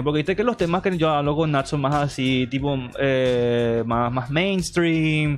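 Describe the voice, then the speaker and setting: With ordinary pitch variation, a man speaks at a fairly high pitch while noticeable background noise is audible. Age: 30s. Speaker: podcast host. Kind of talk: casual chat. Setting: live stream.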